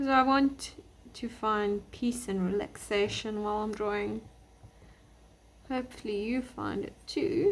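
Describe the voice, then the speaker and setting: A somewhat breathy woman speaks at a fairly slow pace with long, frequent pauses, her fairly high pitch showing ordinary variation. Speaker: artist teaching drawing. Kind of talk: tutorial. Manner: quiet, relaxed.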